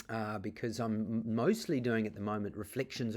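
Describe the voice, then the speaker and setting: The speaker has a New Zealand accent and fairly even intonation. The recording is very clean, with a silent background. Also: man. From New Zealand (Auckland). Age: 40s. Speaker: artist. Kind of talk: interview monologue. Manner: halting, many fillers.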